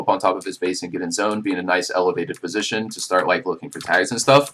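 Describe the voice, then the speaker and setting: Over noticeable background noise, a man talks at a very fast pace with a fairly low pitch and fairly even intonation. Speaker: gaming coach. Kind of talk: coaching review session.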